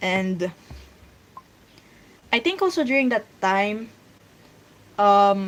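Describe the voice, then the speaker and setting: In a Filipino accent, a woman speaks at a medium pitch with ordinary pitch variation. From Philippines. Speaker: streamer and webcomic artist. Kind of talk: casual livestream chat. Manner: halting.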